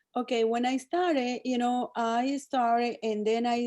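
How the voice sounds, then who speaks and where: A woman speaks with a Spanish accent in a dark, mellow tone. Her pace is moderate and her intonation fairly even, over a quiet background. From El Salvador. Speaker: cosmetics sales director. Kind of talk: interview. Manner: halting.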